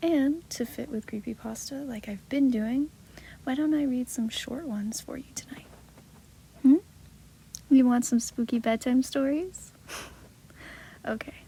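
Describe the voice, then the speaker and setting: Soft-spoken speech broken by long, frequent pauses, with noticeable background noise. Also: fairly slow pace. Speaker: ASMR creator. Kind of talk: casual talk to listener.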